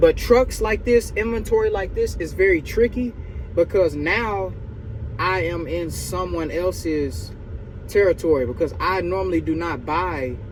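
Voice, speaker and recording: A man in an animated tone, fairly slow, with long, frequent pauses over noticeable background noise. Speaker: used car dealer and vlogger. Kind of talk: casual vlog talk to camera. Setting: inside a truck at a car auction. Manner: louder, animated; whispering near other dealers.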